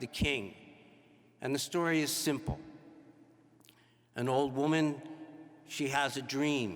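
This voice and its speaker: Fairly even in intonation, a man with a medium-pitched voice talks at a moderate pace. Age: 60s. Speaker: priest. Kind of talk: homily.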